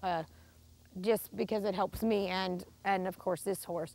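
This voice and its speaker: On a very clean recording with a silent background, a woman speaks at a medium pitch and moderate pace in a calm, flat monotone. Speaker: barrel racer and trainer. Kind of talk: instructional talk while riding. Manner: calm, assertive.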